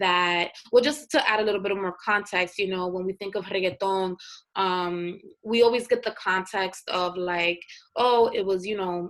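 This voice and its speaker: A woman with an American accent talks at a moderate pace, at medium pitch and with fairly even intonation. She has an unremarkable speaking voice. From US Northeast, North Philadelphia. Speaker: journalist and multimedia creator. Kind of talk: interview.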